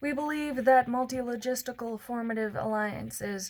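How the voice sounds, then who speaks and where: A woman puts on a nasal, high-pitched character voice. She talks at a moderate pace. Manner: droning, monotone.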